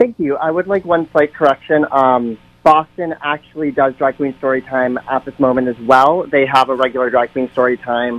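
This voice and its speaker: A man with an ordinary speaking voice talks at a moderate pace and medium pitch, with fairly even intonation and hardly any pauses. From central Massachusetts, US. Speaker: drag performer. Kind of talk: radio interview debate. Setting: phone call.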